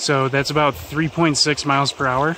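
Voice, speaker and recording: A man talks at a fairly slow pace with ordinary pitch variation, the sound dry with no echo and light background noise behind him. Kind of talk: casual vlog chat. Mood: upbeat, pleased. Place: open country. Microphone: phone near.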